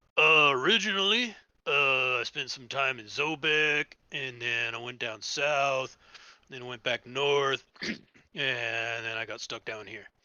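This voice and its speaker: Putting on a raspy character voice, a man talks at a medium pitch and a fairly slow pace. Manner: casual, friendly.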